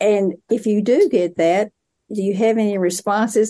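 Speaking at a moderate pace with an American accent, a woman has a dark, mellow tone, medium pitch and ordinary pitch variation. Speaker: podcast host, education professor. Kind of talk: interview.

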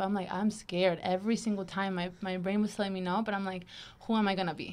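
A woman talks at a very fast pace. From Venezuela. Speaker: veterinary student. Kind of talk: casual chat.

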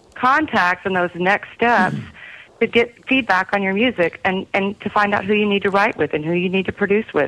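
This woman has a slight Texas accent and a medium pitch. Her tone is bright and sharp. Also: ordinary pitch variation, moderate pace. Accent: slight Texas country twang. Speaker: singer-songwriter. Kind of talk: interview.

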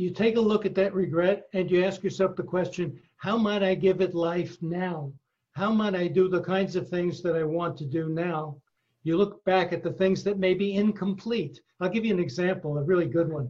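A high-pitched man at a moderate pace, his intonation fairly even. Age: 70s. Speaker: psychologist and author. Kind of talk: interview. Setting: remote call.

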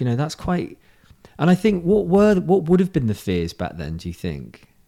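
This is a man speaking. He has a British accent. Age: 40s. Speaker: podcast host. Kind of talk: casual chat. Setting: video call. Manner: animated.

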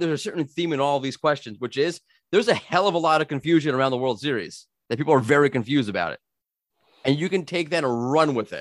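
With an American accent, a man talks at a very fast pace in a fairly high voice, the sound dry and close with no echo on a very clean recording with a silent background. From US, New York. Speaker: podcast host. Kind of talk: casual interview chat.

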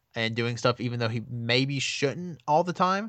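Over a quiet background, a man with a Southern US accent speaks at a fairly quick pace and medium pitch, with ordinary pitch variation and an animated tone. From Alabama, US South. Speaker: wrestling fan, podcast guest. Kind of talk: casual chat.

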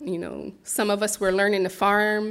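With an American accent and a fairly quick pace, a plain, everyday voice comes through in a very clean recording with a silent background. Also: woman. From Philadelphia, US. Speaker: farmer and herbalist. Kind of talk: presentation talk.

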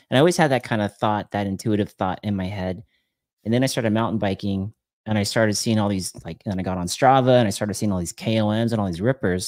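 A man talks very fast at a fairly low pitch with ordinary pitch variation, his voice dry and close with no echo on a very clean recording over a silent background. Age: 40s. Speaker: podcaster and YouTuber. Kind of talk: casual chat.

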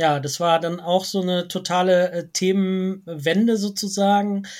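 Very slowly and with fairly even intonation, a man speaks in a high voice, captured on a very clean recording with a silent background. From Lower Rhine, Germany (Wesel). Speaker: geography professor. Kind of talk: interview. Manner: hesitant, many filler sounds.

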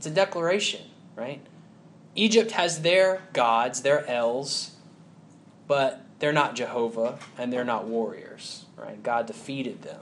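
In audible room echo, a man with a Southern US accent speaks at a fairly slow pace. His voice is fairly high, with lively intonation. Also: big swings in loudness. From US South, Huntsville, Alabama. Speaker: preacher. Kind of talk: sermon.

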